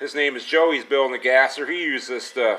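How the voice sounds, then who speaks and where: The tone is relaxed, at a moderate pace. Intonation stays fairly even. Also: man. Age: 40s. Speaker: car restoration YouTuber. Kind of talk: casual workshop video narration; casual vlog chat. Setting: home garage shop. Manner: relaxed, rambling with fillers. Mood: relaxed, pleased. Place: garage. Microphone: phone near.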